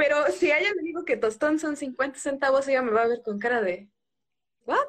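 Her intonation is lively and her pitch is high. The woman speaks at a moderate pace. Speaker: social psychologist and feminist activist. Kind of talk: interview, explanatory.

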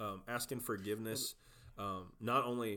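With a Southern US accent, a man speaks at a medium pitch in a bright, sharp tone with fairly even intonation. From South Georgia. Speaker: youth pastor. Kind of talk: casual conversation, faith testimony.

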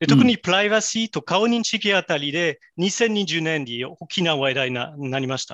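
With hardly any pauses, a man speaks at a moderate pace in a high pitch, his loudness swinging widely. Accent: French. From France. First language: French (speaking Japanese). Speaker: AI specialist. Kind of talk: interview. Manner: halting.

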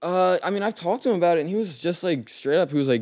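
A man with an American accent talks at a very fast pace in a very clean recording with a silent background. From Delaware, US. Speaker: podcast guest. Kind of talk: casual chat. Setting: recording in his father's home.

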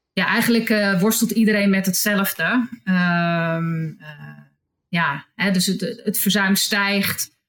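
A woman talks at a very slow pace with a medium pitch and ordinary pitch variation. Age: 50s. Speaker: hospital HR manager. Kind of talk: interview. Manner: halting.

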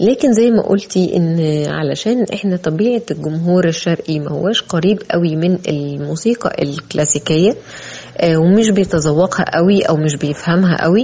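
A woman in a Cairo accent, fairly low in pitch, at a fairly slow pace with ordinary pitch variation, over noticeable background noise. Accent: Egyptian Arabic (Cairene). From Egypt. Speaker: flutist and art critic. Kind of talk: interview. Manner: formal.

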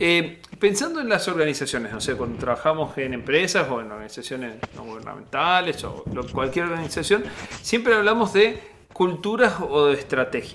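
A man's high-pitched voice with very wide pitch swings and big swings in loudness, over noticeable background noise. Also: moderate pace. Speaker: podcast host. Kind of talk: interview conversation.

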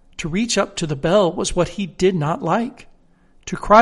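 Pitch shifts an ordinary amount in this unforced reading voice.

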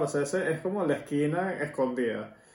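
Through noticeable background noise and audible room echo, a man speaks at a moderate pace with a fairly high pitch. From Venezuela. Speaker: podcast host. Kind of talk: casual chat.

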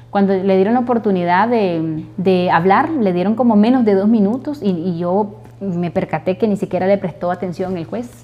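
The speech moves at a moderate pace with hardly any pauses. Its intonation is lively. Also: woman, medium pitch for a woman. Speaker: wife of a jailed sports journalist. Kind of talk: interview testimony. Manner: halting.

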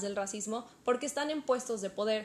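A woman speaks with lively intonation. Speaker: podcast co-host. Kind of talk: casual chat.

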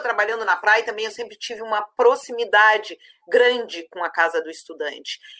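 This woman's voice sits fairly high, bright and sharp in tone, moving at a moderate pace. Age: 50s. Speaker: university administrative staff coordinator. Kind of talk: live-stream panel discussion.

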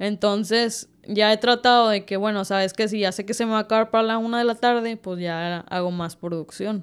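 At a moderate pace, a woman with a normal speaking voice talks in a fairly high pitch with fairly even intonation. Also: very clean recording, silent background. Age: 20s. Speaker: baker and bakery owner. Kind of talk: casual interview.

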